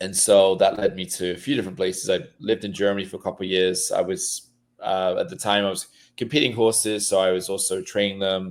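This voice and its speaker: A man's fairly low voice at a very fast pace with ordinary pitch variation, in a very clean recording with a silent background. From England, small town north of London. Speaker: real estate and horse investor, former show jumper. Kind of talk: podcast interview.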